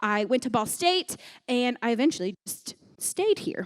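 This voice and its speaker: Recorded very cleanly against a silent background, a woman with an American accent speaks in a high voice with very wide pitch swings. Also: dry, close sound with no echo. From US Midwest, southern Indiana near Kentucky. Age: 20s. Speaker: children's pastor. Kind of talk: sermon to youth group. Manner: casual, hesitant with many fillers.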